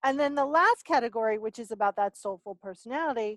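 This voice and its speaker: With an ordinary speaking voice, a woman talks at a fairly quick pace in a fairly high pitch with lively intonation over a quiet background. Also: dry, close sound with no echo. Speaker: soul language coach. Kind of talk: interview.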